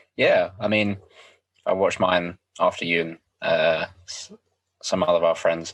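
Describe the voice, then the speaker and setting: A man with a southern English accent. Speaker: podcast co-host. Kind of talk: casual chat.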